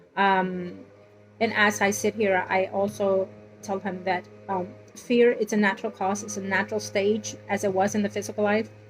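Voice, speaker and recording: Moderate pace over music in the background. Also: woman. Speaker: tarot reader. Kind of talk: tarot reading. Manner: halting.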